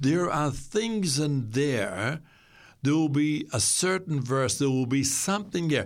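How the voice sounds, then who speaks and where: Speaking at a very slow pace with lively intonation, a man with a Southland New Zealand accent comes through on a very clean recording with a silent background. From New Zealand, Southland. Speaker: guest sharing faith story. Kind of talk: testimony. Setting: studio. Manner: halting.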